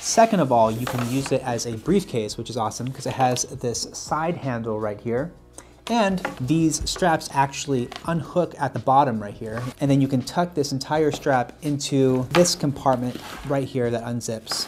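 Music in the background behind a man with ordinary pitch variation. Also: moderate pace. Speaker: style channel host. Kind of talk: product review. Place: studio.

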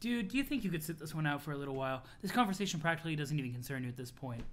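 A man puts on a character voice that is breathy and fairly high-pitched for a man. He speaks at a very fast pace. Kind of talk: put-on character voice.

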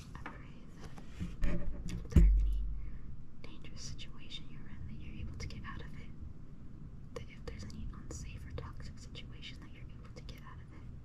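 Someone whispers with long, frequent pauses and big swings in loudness. Noticeable background noise runs underneath. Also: woman, fairly quick pace. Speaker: ASMR creator. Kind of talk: whispered prayer and affirmations for relaxation.

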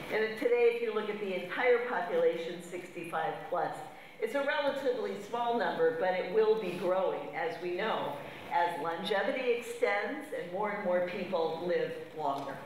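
A woman is heard with audible room echo. Light background noise sits behind her. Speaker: conference speaker. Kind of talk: lecture. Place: hall.

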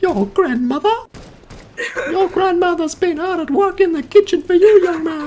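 In a put-on character voice, a female-sounding speaker goes at a moderate pace with an extremely high pitch. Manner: scolding, stern.

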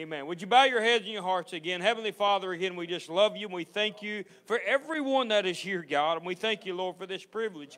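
The speech runs at a very fast pace. There are hardly any pauses. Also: man, high pitch for a man, ordinary pitch variation. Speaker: pastor or service leader. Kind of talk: church welcome and prayer. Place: church.

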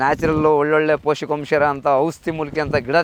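Noticeable background noise is present. Over it, a man speaks at a fairly high pitch. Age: 40s. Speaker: cattle farmer. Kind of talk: casual interview.

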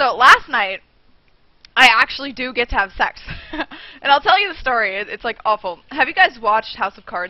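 A woman's high voice at a fairly quick pace, dry with no echo, over a quiet background. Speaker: streamer. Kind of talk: casual vlog chat. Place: home room. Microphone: headset.

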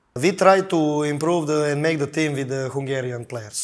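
The man's pitch is fairly high, with fairly even intonation. He keeps a moderate pace against a quiet background. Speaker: basketball head coach. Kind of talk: interview. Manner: halting. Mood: calm, thoughtful. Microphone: lapel.

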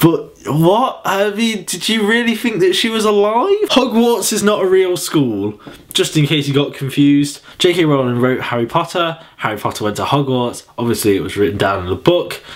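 A man speaks with an English accent at a high pitch and a moderate pace. His pitch swings very widely, with hardly any pauses. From England. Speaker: vlogger. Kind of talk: casual vlog monologue. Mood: sarcastic, mocking, amused. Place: home room. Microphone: webcam.

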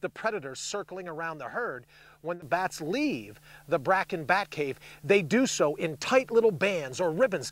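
Very wide pitch swings from a man at a moderate pace, in a dry sound with no echo. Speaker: outdoor show host. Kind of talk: presenter commentary. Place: open country. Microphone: lapel.

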